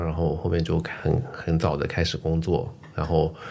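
This man speaks. His pitch is very deep and low. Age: 20s. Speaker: podcast host. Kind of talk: casual chat.

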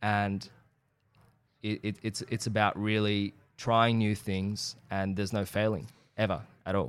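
A man with an Australian accent at a fairly low pitch, with monotone, flat intonation, a fairly slow pace and long, frequent pauses, in a very clean recording with a silent background. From Iran, then Australia from age eight. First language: Persian. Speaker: actor. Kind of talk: casual chat.

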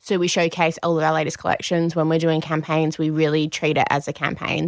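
In an Australian accent, a woman speaks with a very deep, low pitch. The recording is very clean and dry, close with no echo and a silent background. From Perth, Western Australia. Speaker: activewear brand co-owner. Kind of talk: interview.

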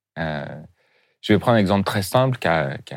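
A man speaks with music playing in the background. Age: 40s. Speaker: head of a refugee integration charity. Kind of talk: interview. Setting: studio. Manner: halting.

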